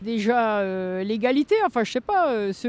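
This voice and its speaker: A woman is talking. Her pace is fairly slow. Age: 50s. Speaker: yellow vest protester. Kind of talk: interview.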